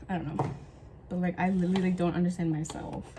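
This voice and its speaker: A woman mumbles at a very fast pace in a fairly low voice, with noticeable background noise. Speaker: vlogger. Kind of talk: casual chat. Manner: mumbling.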